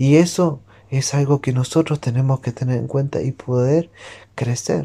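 A man with a dark, mellow tone and a somewhat breathy voice speaks at a fairly slow pace. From Uruguay. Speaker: missionary. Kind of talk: devotional talk.

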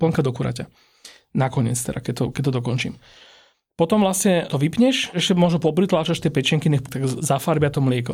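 This man's voice is fairly high in pitch and somewhat breathy. He talks at a fairly quick pace with ordinary pitch variation. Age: 30s. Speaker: food podcast host. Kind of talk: casual interview.

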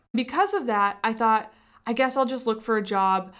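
A woman talks at a fairly quick pace in a plain, everyday voice, pitched fairly high. The recording is very clean, with a silent background. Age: 30s. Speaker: podcast host and entrepreneur. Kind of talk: solo podcast monologue.

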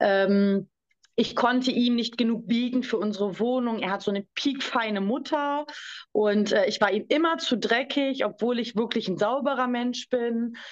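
A woman with an unremarkable speaking voice, a fairly high pitch, ordinary pitch variation, and a moderate pace. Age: 20s. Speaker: survivor of domestic abuse. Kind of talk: testimony.

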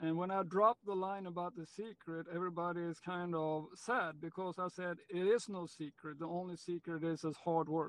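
At a moderate pace, a man with a Swedish accent and a high pitch speaks with fairly even intonation. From Sweden. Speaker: pickleball pro and tennis coach. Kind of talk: interview.

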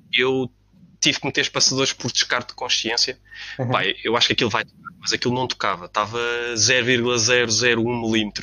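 Monotone and flat, a man talks at a fairly quick pace in a medium pitch. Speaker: car enthusiast. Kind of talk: casual chat.

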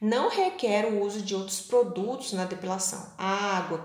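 Over noticeable background noise and audible room echo, a woman speaks very slowly at medium pitch with ordinary pitch variation. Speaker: blogger. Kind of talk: scripted narration.

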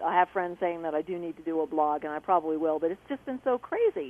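A normal speaking voice from a woman, fairly quick, with lively intonation. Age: 50s. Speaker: caller. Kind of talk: testimony.

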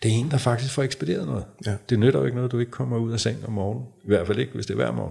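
This man talks at a very fast pace with a dark, mellow tone and vocal fry. His pitch is medium, with ordinary variation. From North Zealand, Denmark. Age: 50s. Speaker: men's and couples therapist. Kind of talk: casual interview conversation.

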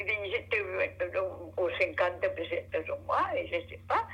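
A woman speaks over noticeable background noise. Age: 80s+. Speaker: grandmother. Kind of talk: casual chat.

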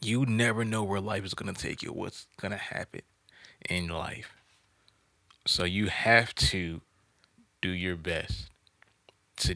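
A man with an American accent speaks at a very deep, low pitch with vocal fry and a bright, sharp tone. His pitch varies in an ordinary way, his loudness swings widely, and he takes long, frequent pauses. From US South. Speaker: podcast host. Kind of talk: casual chat.

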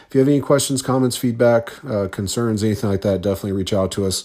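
Very fast in pace, a man with a fairly low pitch and a dark, mellow tone speaks with ordinary pitch variation. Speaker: podcast host. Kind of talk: casual solo movie podcast. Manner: hesitant, filler-heavy.

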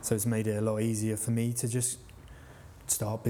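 A man talks at a moderate pace in a fairly low pitch. His tone is dark and mellow, somewhat breathy. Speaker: podcast host. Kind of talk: casual interview.

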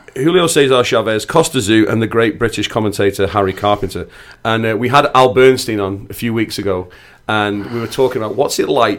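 In a Manchester accent, a man speaks at a medium pitch with ordinary pitch variation. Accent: northern English (Manchester). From northwest England, near Manchester. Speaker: podcast host. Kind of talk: casual interview chat. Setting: studio.

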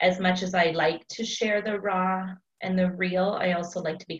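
At a moderate pace, a woman talks in a normal speaking voice. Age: 30s. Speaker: teacher and small business owner. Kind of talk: casual chat.

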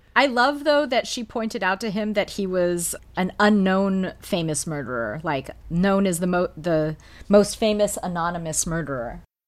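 In a very clean recording with a silent background, a woman with a plain, everyday voice speaks at a medium pitch and moderate pace with lively intonation. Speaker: podcast panelist. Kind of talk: casual chat.

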